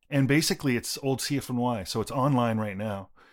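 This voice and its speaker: With a Canadian accent, a man speaks at a medium pitch in a normal speaking voice. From Toronto suburbs, Canada. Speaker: electronic music composer. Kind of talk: interview. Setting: remote recording.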